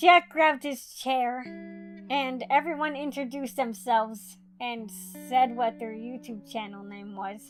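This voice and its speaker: Music sits in the background as a woman speaks. Her pitch is high and her pace fairly slow. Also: ordinary pitch variation. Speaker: YouTuber. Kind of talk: storytime talk to camera.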